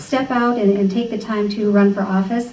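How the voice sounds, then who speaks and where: Over noticeable background noise and audible room echo, a woman speaks fairly quickly at a medium pitch with fairly even intonation. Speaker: political candidate. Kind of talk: campaign speech. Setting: meeting room with microphone.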